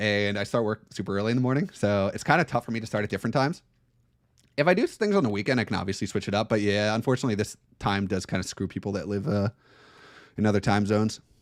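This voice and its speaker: Fairly low in pitch, a man talks at a very fast pace with ordinary pitch variation. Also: very clean recording, silent background. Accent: American. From New Jersey, US. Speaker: board game streamer. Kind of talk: live gameplay commentary with chat reading. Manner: casual, conversational with filler words.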